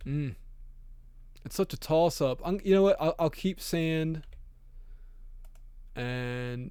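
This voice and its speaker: In a very clean recording with a silent background, a man speaks very slowly with long, frequent pauses. His voice is fairly high-pitched and dark and mellow in tone, with ordinary pitch variation. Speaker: audio engineer tutorial youtuber. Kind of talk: tutorial. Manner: hesitant, many ums and likes; casual, unscripted.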